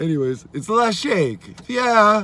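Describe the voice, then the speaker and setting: A man talks at a fairly slow pace with very wide pitch swings. The sound is dry, with no echo. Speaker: vlogger. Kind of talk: casual vlog chat. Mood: playful, reassuring. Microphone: phone near.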